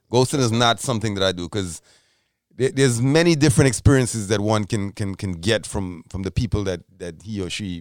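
This very clean recording has a silent background. The speaker talks at a fairly quick pace with ordinary pitch variation. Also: man. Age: 40s. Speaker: podcast co-host. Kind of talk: casual chat. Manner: halting, many repeated words.

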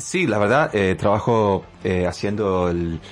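Against noticeable background noise, a man with a fairly low pitch speaks at a fairly slow pace. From Canada. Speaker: rapper and dancer. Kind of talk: radio interview. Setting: radio studio.

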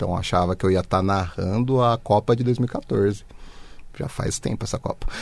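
A man with an ordinary speaking voice talks at a moderate pace in a fairly low pitch, with ordinary pitch variation. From Brazil, Osasco (São Paulo metro area). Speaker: journalist and editor. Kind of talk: interview.

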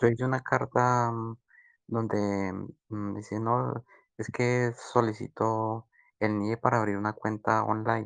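A man with a medium pitch speaks at a fairly slow pace, using fairly even intonation and long, frequent pauses. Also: quiet background. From Colombia. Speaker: migrant asking questions. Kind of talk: casual group voice chat.

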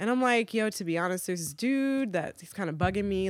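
A woman with an ordinary speaking voice talks at a fairly quick pace with lively intonation, in a very clean recording against a silent background. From Virginia, US (military family, moved around). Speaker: recording artist and video editor. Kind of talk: casual chat. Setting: studio.

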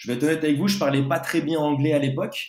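Talking very fast with audible room echo, a man has a fairly high, somewhat breathy voice and ordinary pitch variation. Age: 20s. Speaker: pastry chef. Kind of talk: interview.

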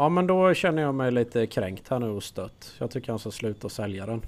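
A normal speaking voice from a man, medium in pitch with lively intonation, on a very clean recording with a silent background. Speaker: guest co-host. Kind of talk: casual chat.

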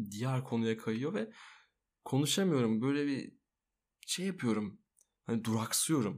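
A man at a fairly slow pace with lively intonation, on a very clean recording with a silent background. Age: 20s. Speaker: podcast host. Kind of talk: casual chat. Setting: home recording at night. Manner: soft-spoken.

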